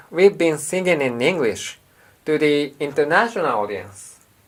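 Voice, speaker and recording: The voice carries a Japanese accent. Its pace is moderate. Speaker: rock band guitarist and songwriter. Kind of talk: vlog monologue.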